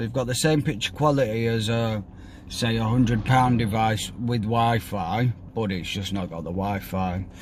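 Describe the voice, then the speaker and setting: Speaking at a moderate pace with a British accent, a man keeps a medium pitch and ordinary pitch variation. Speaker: company director. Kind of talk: product setup tutorial. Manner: casual.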